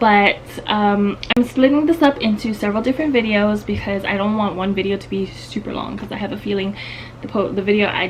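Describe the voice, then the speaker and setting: A woman at a moderate pace with ordinary pitch variation amid noticeable background noise. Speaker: lifestyle vlogger. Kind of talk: casual vlog tutorial. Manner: casual, many filler ums.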